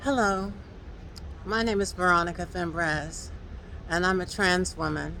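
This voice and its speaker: A woman with a fairly low pitch and a bright, sharp tone talks at a fairly slow pace with ordinary pitch variation and long, frequent pauses, in a room with audible echo. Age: 60s. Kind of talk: vlog commentary. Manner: halting, many fillers.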